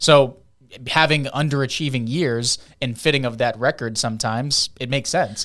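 Here is an unremarkable speaking voice, a man's, at a medium pitch and a fairly quick pace. Intonation is fairly even, and the recording is very clean with a silent background. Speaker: sports podcast host. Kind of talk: casual sports chat.

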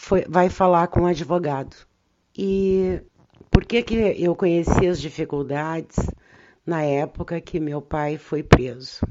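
This woman's pitch is fairly low, with fairly even intonation. She talks at a very slow rate. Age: 60s. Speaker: lawyer and union activist. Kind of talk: life story interview.

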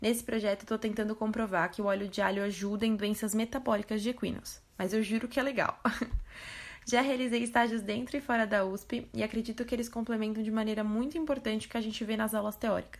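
Speaking at a very fast pace, a woman uses a fairly high pitch and fairly even intonation. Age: 20s. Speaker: veterinary student. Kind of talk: testimony.

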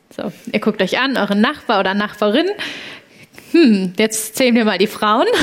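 At a moderate pace with long, frequent pauses, the speaker uses ordinary pitch variation over noticeable background noise. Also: woman, fairly high pitch for a woman. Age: 20s. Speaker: startup founder. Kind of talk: live podcast interview before an audience. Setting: university venue with live audience. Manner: animated.

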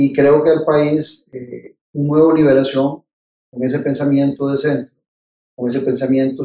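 A man's fairly high-pitched, dark, mellow voice in a Costa Rican accent, monotone and flat, at a fairly slow pace. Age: 50s. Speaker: political scientist and presidential pre-candidate. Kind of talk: interview.

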